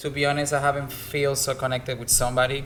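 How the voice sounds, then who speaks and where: A man with a Spanish accent, audible room echo and noticeable background noise. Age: 20s. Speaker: bartender. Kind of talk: casual chat.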